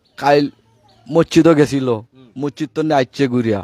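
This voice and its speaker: A man's fairly high voice comes through dry and close, with no echo. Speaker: victim's father. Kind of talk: testimony.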